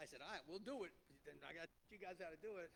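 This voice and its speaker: Talking at a very fast pace, a man speaks in a New Jersey accent. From New Jersey (Clifton). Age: 50s. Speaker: restaurant entrepreneur. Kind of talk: panel talk to an audience. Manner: loud; halting.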